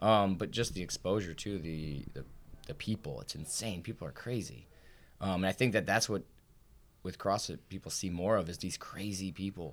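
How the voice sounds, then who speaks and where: The speaker is a man with a very deep, low pitch. His pitch varies in an ordinary way. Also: moderate pace. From Indiana, after childhood in Ohio and Florida. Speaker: CrossFit gym owner and competitive athlete. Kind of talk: casual interview.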